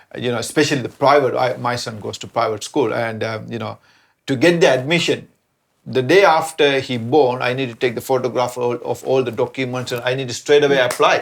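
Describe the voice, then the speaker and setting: Vocal fry runs through a man's medium-pitched voice as he speaks at a fairly quick pace with fairly even intonation. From Sri Lanka. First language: not English (English is third language). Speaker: immigrant parent. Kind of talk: church panel conversation.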